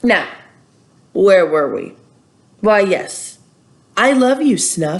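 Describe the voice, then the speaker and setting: A woman puts on a gruff character voice at medium pitch. She speaks at a very slow pace with long, frequent pauses. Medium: read story. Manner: stern, gruff.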